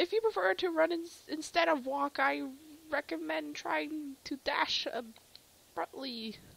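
A nasal, put-on character voice moves at a fairly slow pace. Long, frequent pauses break up the speech. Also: woman, high pitch for a woman.

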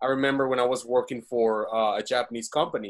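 A man with a Spanish accent talks at a fairly quick pace. His medium pitch keeps to fairly even intonation. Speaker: webinar host and business owner. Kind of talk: webinar interview. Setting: video call.

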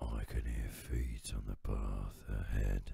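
Using a put-on character voice, a man speaks at a very deep, low pitch and a fairly slow pace, his intonation monotone and flat. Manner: gruff, then amazed.

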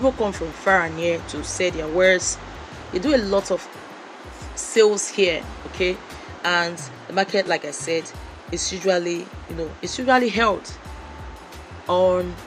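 A woman talks at a moderate pace, with ordinary pitch variation and long, frequent pauses. Music plays in the background. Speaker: vlogger passenger. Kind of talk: casual vlog commentary. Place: car. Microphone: phone near.

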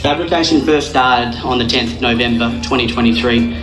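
A man delivers his words at a moderate speed while clear music sounds behind him. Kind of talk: prepared ceremony speech. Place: open country. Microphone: pa.

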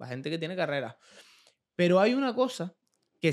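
A man talks at a moderate speed, with the background quiet. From Canary Islands. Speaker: podcast host. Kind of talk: interview. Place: studio. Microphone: studio mic.

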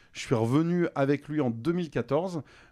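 A man is talking with ordinary pitch variation. The background is quiet. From western France (Vendée); western France. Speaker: radio host and comedian; radio host, comedian. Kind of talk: casual interview. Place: studio. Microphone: studio mic.

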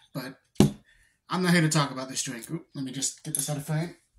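Loud background noise behind a fairly quick pace. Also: man. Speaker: snack reviewer. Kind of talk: casual vlog chat. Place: home room.

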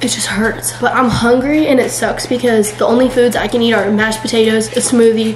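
With light background noise and audible room echo, the speaker talks at a fairly quick pace with hardly any pauses and fairly even intonation. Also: woman. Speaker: vlogger. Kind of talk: casual vlog chat. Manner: sore, swollen-mouthed post-surgery speech.

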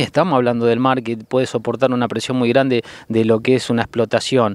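In a dry sound with no echo, a man speaks at a moderate pace. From Argentina. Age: 50s. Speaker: photographer; witness. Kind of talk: interview. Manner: hesitant, many filler sounds. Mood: concerned, indignant. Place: waterside. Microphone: handheld.

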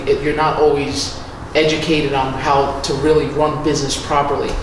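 Audible room echo surrounds a man's voice. There is noticeable background noise too. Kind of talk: interview answer. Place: home room.

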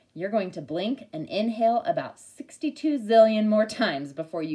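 An unforced reading voice is what comes through here.

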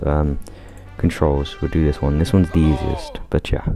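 A man with a very deep, low pitch, fairly even intonation, very even loudness and a moderate pace, with music in the background. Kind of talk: casual gameplay commentary.

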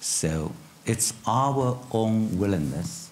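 A man's fairly low voice with a Chinese accent and very wide pitch swings, over light background noise. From China. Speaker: economic policy expert. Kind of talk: panel discussion. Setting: stage with audience. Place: stage. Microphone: lapel.

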